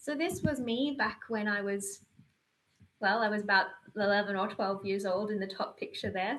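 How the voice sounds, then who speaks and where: A woman with an Australian accent and ordinary pitch variation. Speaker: reserve astronaut and panel moderator. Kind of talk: panel introduction and personal talk. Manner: hesitant, with fillers and restarts.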